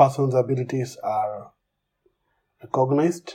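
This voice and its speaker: A man with a Kenyan accent speaks at a medium pitch, his dark, mellow tone somewhat breathy. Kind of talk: personal testimony.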